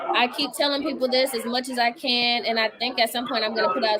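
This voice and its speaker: A woman with a high-pitched voice speaks at a fairly quick pace in an animated tone, with noticeable background noise behind her. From Washington DC area. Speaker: ministry researcher and livestream host. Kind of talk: live-stream talk to an audience.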